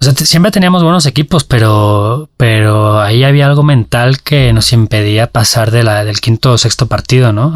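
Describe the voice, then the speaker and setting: A somewhat breathy male voice at a medium pitch, with ordinary pitch variation. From Valencia, Spain. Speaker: journalist. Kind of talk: interview. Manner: halting, many repetitions and fillers.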